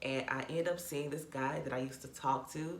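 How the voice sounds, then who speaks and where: A woman speaks with a very deep, low pitch and ordinary pitch variation, with audible room echo and noticeable background noise. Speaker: YouTuber. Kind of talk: storytime vlog. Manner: casual, conversational.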